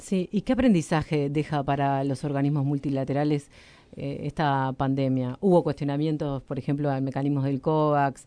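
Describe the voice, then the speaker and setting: The pace is moderate. The background is quiet. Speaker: radio host. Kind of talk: radio interview; introduction reading.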